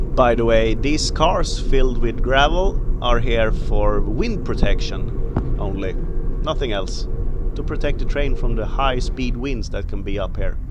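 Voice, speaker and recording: Fairly slow speech from a man amid noticeable background noise and audible room echo. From Sweden. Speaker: travel vlogger. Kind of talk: travel vlog narration. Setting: outdoors.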